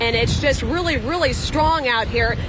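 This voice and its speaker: Noticeable background noise sits behind a woman's high-pitched voice. She speaks at a moderate pace. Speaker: field reporter. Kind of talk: live field report. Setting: outdoors in hurricane. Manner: loud, yelling over wind.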